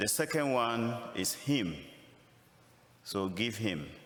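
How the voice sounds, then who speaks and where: Speaking very slowly with a Ghanaian accent, a man uses lively intonation at a medium pitch, and audible room echo surrounds him. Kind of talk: sermon.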